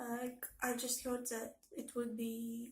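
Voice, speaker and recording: In a room with audible echo, a woman speaks at a high pitch. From Belarus. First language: Russian and Belarusian. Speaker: language learning vlogger. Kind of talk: casual vlog, answering tag questions. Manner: hesitant, many fillers.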